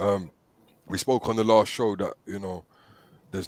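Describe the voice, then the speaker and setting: In a very clean recording with a silent background, a man with a fairly low voice talks at a moderate pace in a flat monotone. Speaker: talk show host. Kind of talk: casual chat. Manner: hesitant, repetitive fillers.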